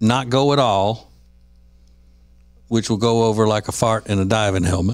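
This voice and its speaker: In a dry recording with no echo and a quiet background, a man talks at a moderate pace with fairly low pitch and fairly even intonation. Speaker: podcast host. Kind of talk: casual podcast chat. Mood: relaxed, mildly wry. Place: studio. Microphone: studio mic.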